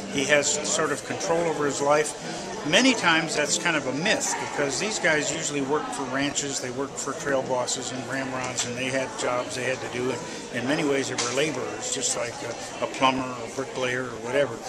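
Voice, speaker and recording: A man with a fairly high pitch and ordinary pitch variation talks at a fairly quick pace with hardly any pauses, amid noticeable background noise and audible room echo. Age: 60s. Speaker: museum director. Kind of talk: interview.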